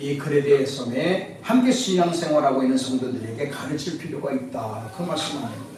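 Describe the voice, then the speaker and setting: Both noticeable background noise and audible room echo are present in this clip. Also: man. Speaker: pastor. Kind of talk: sermon.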